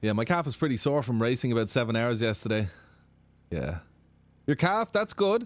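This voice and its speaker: Using long, frequent pauses, a man speaks in a medium pitch with very wide pitch swings and an animated tone. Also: fairly quick pace. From Ireland. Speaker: sim racing streamer. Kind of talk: live stream chat reading viewer comments. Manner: casual, animated.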